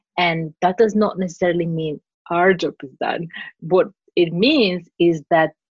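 In a Greek accent, a woman speaks at a fairly low pitch. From Cyprus and Greece. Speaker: translator and interpreter. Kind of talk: casual interview. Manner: animated.

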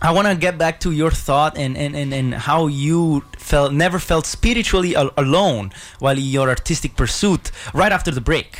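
The man's pitch is fairly high, with ordinary variation. Noticeable background noise sits behind him. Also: moderate pace. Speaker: radio host. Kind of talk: radio interview. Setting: radio studio. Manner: animated.

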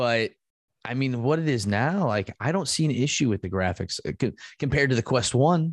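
Over a quiet background, a man with a normal speaking voice talks at a medium pitch and a fairly quick pace, his intonation lively. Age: 30s. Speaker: esports league executive. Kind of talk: casual chat.

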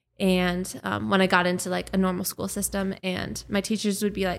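A woman with a normal speaking voice talks at a fairly quick pace, her pitch in the medium range. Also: very clean recording, silent background. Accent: American. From Minnesota, US Midwest. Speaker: photographer and business owner. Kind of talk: casual interview chat.

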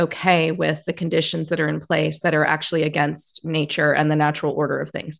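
Vocal fry and monotone, flat intonation at a fairly quick pace, over a quiet background. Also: woman. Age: 40s. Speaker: podcast host. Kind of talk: casual interview.

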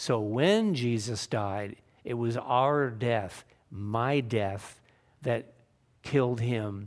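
With ordinary variation in his medium pitch, a man talks over a quiet background. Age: 60s. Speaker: pastor. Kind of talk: sermon. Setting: church.

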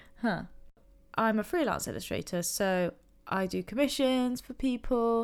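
A woman with an English accent mumbles quietly at a fairly high pitch with ordinary pitch variation and a fairly slow pace. The recording is very clean with a silent background. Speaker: illustrator and podcast host. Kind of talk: casual solo chat. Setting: home recording, late at night. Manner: mumbling.

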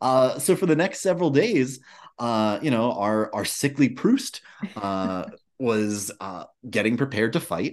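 Man with a plain, everyday voice, fairly slow pace and lively intonation, against a quiet background. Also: medium pitch for a man. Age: 40s. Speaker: podcast host. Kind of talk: casual chat.

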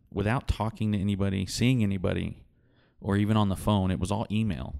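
A man with a West Texas accent speaks in a fairly low, dark, mellow tone with ordinary pitch variation. The recording is very clean, with a silent background. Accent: West Texas drawl. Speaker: oilfield worker and instrumentation technician. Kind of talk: casual chat.

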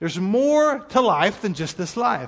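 A man's voice moves through very wide pitch swings. The background is quiet. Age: 40s. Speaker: pastor. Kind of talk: sermon. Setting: church. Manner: casual, conversational.

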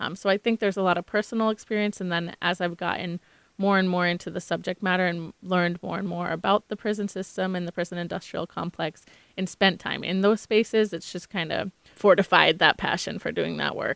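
This woman, with an American accent, talks at a fairly quick pace in a medium pitch. Her delivery is monotone and flat, captured in a very clean recording with a silent background. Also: dry, close sound with no echo. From Massachusetts (Maynard/Concord area). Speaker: public defender social worker. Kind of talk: interview.

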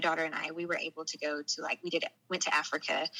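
A woman talks in a Southern US accent. Her voice has a bright, sharp tone. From Arkansas, US South. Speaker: storyteller guest, former law enforcement worker. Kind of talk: personal testimony interview.

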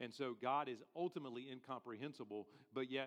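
Ordinary pitch variation marks a man's normal speaking voice at medium pitch. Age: 40s. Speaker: pastor. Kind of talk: sermon.

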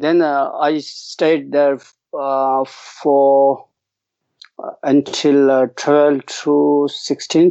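Speaking at a very slow pace, a man talks with a Tibetan accent. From East Tibet. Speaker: Buddhist monk and teacher. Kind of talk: casual interview. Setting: video call. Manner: halting, hesitant.

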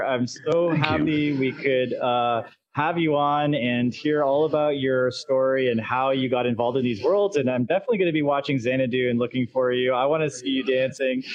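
A man talks at a moderate pace and fairly high pitch. His is an unremarkable speaking voice. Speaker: podcast host. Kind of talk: casual interview chat. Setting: virtual world, live online recording.

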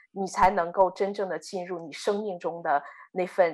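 Here a woman talks with a fairly low pitch. The background is quiet. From Inner Mongolia, China. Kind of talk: testimony. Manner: hesitant, many filler sounds.

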